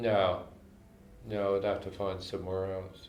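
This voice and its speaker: Over noticeable background noise and audible room echo, a man with a very deep, low pitch speaks at a moderate pace. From Canada, Montreal. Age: 80s+. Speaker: jazz composer and arranger. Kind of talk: casual interview. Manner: halting, with frequent restarts.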